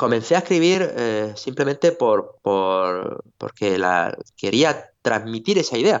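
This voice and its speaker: Very slow male speech at a medium pitch with lively intonation. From Spain, Orihuela (Alicante). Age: 40s. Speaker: writer and music teacher. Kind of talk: interview. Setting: video call. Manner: halting.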